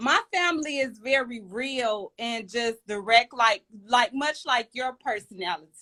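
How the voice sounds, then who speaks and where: A loud, high-pitched woman's voice at a very slow pace, with a dry, close sound and no echo. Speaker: live stream guest. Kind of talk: casual chat. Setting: Instagram live. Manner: direct.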